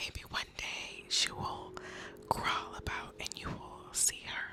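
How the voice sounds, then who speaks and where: Whispering in a calm tone at a very slow pace, a woman is heard over noticeable background noise. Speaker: ASMR creator. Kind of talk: ASMR soft-spoken whispered talk to camera. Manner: soft-spoken, whispered, calm.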